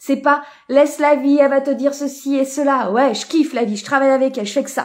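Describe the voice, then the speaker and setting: A woman's high-pitched, animated voice at a fairly quick pace, in a very clean recording with a silent background. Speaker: mentor and coach. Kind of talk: live-stream workshop talk. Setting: live stream.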